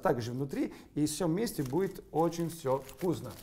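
The voice carries an Italian accent. Its tone is dark and mellow. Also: man. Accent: Italian-accented Russian. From Sicily, Italy. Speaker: chef. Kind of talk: cooking demonstration. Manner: animated. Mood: warm, friendly. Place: kitchen. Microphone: lapel.

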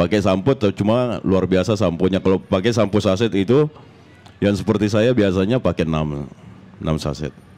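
Here a man speaks with a very deep, low voice. He keeps a moderate pace and ordinary pitch variation. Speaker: reggae musician. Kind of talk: casual interview.

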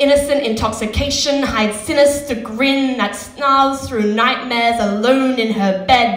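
In a room with audible echo, a woman talks at a fairly slow pace, her high-pitched voice carrying fairly even intonation. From Western Australia. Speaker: slam poet. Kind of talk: slam poetry performance. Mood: grave, emotional. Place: stage. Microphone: handheld.

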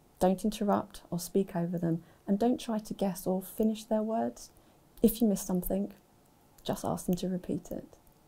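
With a dark, mellow tone and vocal fry, a woman speaks at a moderate pace using ordinary pitch variation. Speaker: university staff member who stammers. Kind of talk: personal account and advice talk. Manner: stammer. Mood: calm, informative. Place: studio.

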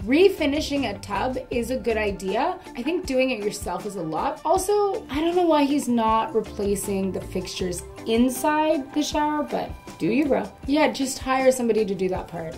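Faint music plays in the background as a woman with a high pitch speaks at a moderate pace. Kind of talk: reaction commentary. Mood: playful, sarcastic, judgmental. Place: home room.

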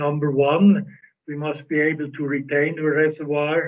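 Quiet background, a man, a fairly slow pace. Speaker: presenter. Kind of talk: lecture. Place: home room. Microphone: video call.

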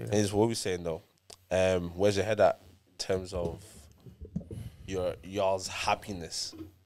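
A man's very deep, low voice with fairly even intonation, big swings in loudness and long, frequent pauses over light background noise. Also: moderate pace. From Ireland. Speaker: podcast host. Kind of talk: casual banter chat. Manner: informal, slangy. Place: studio. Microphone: studio mic.

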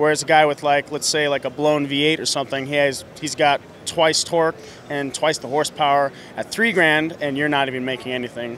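With an American accent and a normal speaking voice, a man talks at a fairly quick pace in a fairly high voice with fairly even intonation, the sound dry with no echo over light background noise. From United States. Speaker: drift racing driver and mechanic. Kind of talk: interview. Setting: trade show floor. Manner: casual, filler-heavy. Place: hall. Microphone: handheld.

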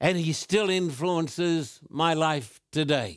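The man's voice is high-pitched. The sound is dry with no echo, and the background is quiet. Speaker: preacher hosting a Q&A show. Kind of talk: sermon. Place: studio.

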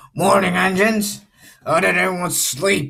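Using a raspy, put-on character voice, a man speaks at a high pitch. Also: moderate pace. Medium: solo performance.

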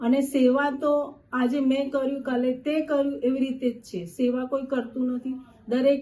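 Monotone, flat intonation marks a voice with a dark, mellow tone. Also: woman, high pitch for a woman. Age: 50s. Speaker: voter interviewed on the street. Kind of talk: vox pop interview.

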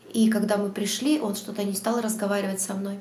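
Fairly quick speech comes with light background noise and audible room echo. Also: woman. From Georgia, Batumi; Georgia. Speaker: vlogger. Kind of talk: Q&A vlog monologue. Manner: hesitant, many fillers. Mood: chatty, storytelling. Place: home room. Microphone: lapel.

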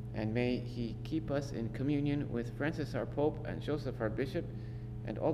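There is noticeable background noise while a man speaks at a moderate pace. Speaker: priest reading scripture, responding at Mass. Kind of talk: scripture reading and liturgical responses. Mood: solemn, measured. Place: church.

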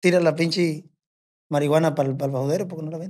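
This man's voice is high in pitch, with fairly even intonation. He speaks at a fairly quick pace. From Mexico, rural ranch. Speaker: bush pilot and corrido composer; podcast guest. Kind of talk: casual storytelling chat. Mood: relaxed, laid-back storytelling. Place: studio. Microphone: studio mic.

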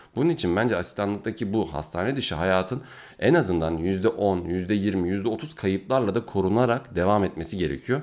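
A man with an unremarkable speaking voice, fairly low pitch, lively intonation, moderate pace and hardly any pauses. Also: very clean recording, silent background. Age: 20s. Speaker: neurology resident doctor. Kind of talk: video Q&A monologue.

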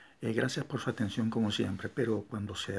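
A man speaks in a somewhat breathy voice. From Venezuela. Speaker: painter and commentator. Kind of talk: personal appeal to camera. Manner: halting. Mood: indignant, complaining. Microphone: phone near.

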